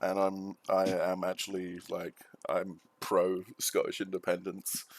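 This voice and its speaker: At a fairly slow pace, a man talks with an English accent. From England. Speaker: stream host. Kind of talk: casual chat. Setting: live stream. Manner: halting, many repeated words.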